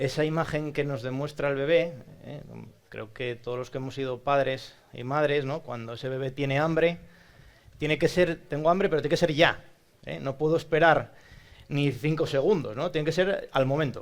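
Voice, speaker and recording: A man speaks with an Asturian accent, his pitch fairly high for a man. His pace is moderate and his intonation fairly even. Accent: northern Spanish (Asturian). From Asturias, Spain (Oviedo). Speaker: psychologist and speech therapist. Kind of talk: talk to audience. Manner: conversational, frequent tag questions.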